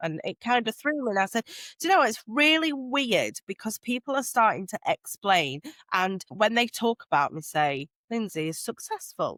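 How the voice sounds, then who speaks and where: A loud woman with a South Yorkshire accent, fairly high-pitched with very wide pitch swings, at a moderate pace, in a dry, close sound with no echo on a very clean recording with a silent background. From northern England, Doncaster. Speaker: social media strategist. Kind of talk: podcast interview.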